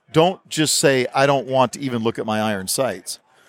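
A man with a plain, everyday voice speaks at a medium pitch with lively intonation. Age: 50s. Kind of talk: casual interview. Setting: expo booth.

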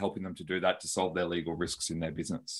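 This is a man speaking with an Australian accent. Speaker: lawyer and business founder. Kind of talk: podcast interview.

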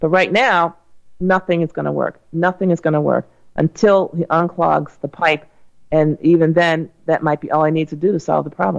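In an ordinary speaking voice, a woman talks at a fairly low pitch and a moderate pace with fairly even intonation, in a dry, close sound with no echo. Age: 60s. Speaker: radio health host and doctor. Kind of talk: call-in radio show.

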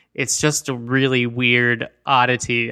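An American-accented man speaks in a bright, sharp tone, recorded very cleanly and close, with a silent background and no echo. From California and Colorado. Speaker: film critic podcast host. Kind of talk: casual chat, movie review.

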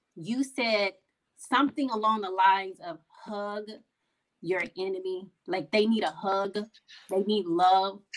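A woman's medium-pitched voice at a fairly slow pace, with ordinary pitch variation and long, frequent pauses. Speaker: podcast co-host. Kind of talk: casual chat interview.

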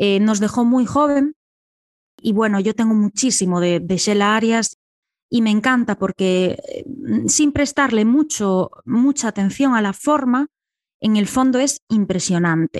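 In a quiet background with a dry, close sound and no echo, a woman uses an ordinary speaking voice at a fairly high pitch, keeping a fairly slow pace, very even loudness and ordinary pitch variation. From Galicia, Ordes near A Coruña. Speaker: sociologist and writer. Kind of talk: interview.

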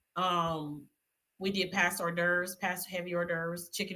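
A woman with an American accent has a bright, sharp tone and a fairly low pitch. Her intonation is monotone and flat. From South Carolina (Spartanburg). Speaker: wedding and event planner. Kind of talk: casual interview.

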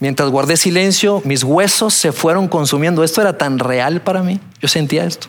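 Against noticeable background noise, a man with a fairly high pitch and ordinary pitch variation talks with hardly any pauses. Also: moderate pace. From Colombia, Bogotá. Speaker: pastor. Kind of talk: sermon. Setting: church auditorium with audience.

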